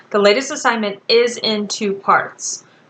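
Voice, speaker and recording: A woman speaks fairly slowly at a fairly high pitch. Noticeable background noise runs underneath. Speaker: college writing instructor. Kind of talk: recorded class instructions. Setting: recorded video for online class.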